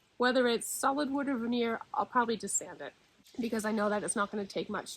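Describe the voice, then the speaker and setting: This is a woman with a slight Nova Scotian accent. Her pitch is fairly high. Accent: Nova Scotian, slight, shows on a few words. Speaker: furniture refinisher. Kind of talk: tutorial. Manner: casual.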